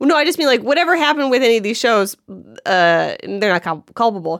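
A woman with an American accent speaks at a very fast pace, her high pitch moving in very wide swings. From Cleveland, Ohio. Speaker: comedy writer and director. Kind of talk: casual chat.

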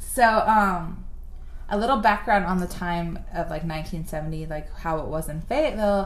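A woman speaks at medium pitch and a fairly slow pace, with ordinary pitch variation. Noticeable background noise sits behind her. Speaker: podcast host. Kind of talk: casual chat.

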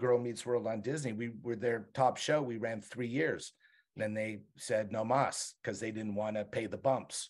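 A man with an unremarkable speaking voice talks at a moderate pace with fairly even intonation on a very clean recording with a silent background. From Montreal, Canada. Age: 60s. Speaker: TV writer and showrunner. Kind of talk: casual interview.

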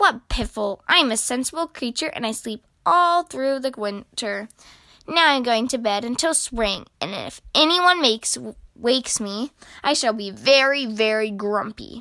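A woman puts on a character voice with a bright, sharp tone, fairly high pitch and lively intonation, moving at a fairly slow pace.

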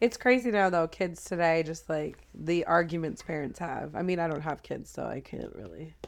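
A woman with a plain, everyday voice, fairly low pitch and ordinary pitch variation, moderate pace with hardly any pauses, and big swings in loudness. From Ontario, Canada (Blue Mountain). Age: 30s. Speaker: rapper. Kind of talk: casual chat.

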